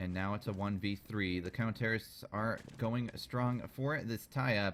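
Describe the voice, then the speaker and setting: In an ordinary speaking voice, a man with fairly low pitch talks at a moderate pace with fairly even intonation. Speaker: esports shoutcaster. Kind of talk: game shoutcasting commentary.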